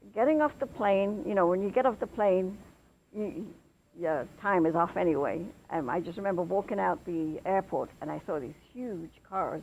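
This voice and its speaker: A woman talks in an English accent at a medium pitch. Her intonation is lively and her pace moderate. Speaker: English expatriate. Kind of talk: interview.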